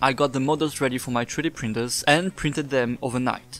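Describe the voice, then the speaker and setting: With music in the background, a man with a non-native accent talks at a fairly quick pace and medium pitch. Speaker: cosplayer and prop maker. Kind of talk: tutorial voice-over.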